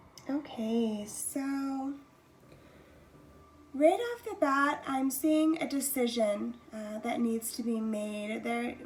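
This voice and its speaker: A high-pitched woman's voice with ordinary pitch variation against noticeable background noise. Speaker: tarot reader. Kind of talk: pick-a-card tarot reading.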